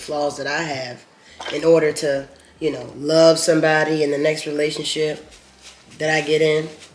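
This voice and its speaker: The speech has a moderate pace and monotone, flat intonation. Noticeable background noise runs underneath. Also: man. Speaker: mukbang vlogger. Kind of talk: casual chat.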